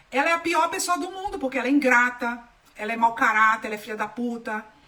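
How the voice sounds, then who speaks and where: Animated in tone, a woman speaks at a high pitch and a fairly quick pace with lively intonation. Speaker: holistic therapist. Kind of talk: live stream talk.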